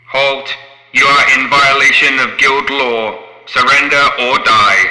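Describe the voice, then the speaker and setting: A man puts on a robotic character voice, fairly high-pitched and raised to project, moving at a fairly slow pace with a clear echo around it. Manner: screeching, menacing.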